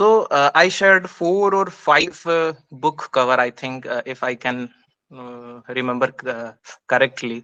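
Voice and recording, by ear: A man speaks at a medium pitch and a fairly slow pace, keeping his intonation fairly even. His tone is clear and smooth, yet also bright and sharp.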